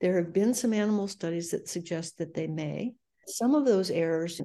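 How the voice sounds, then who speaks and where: Over a quiet background, a woman speaks at a moderate pace and medium pitch, her dark, mellow tone showing ordinary pitch variation. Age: 70s. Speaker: epidemiologist, research director. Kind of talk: interview.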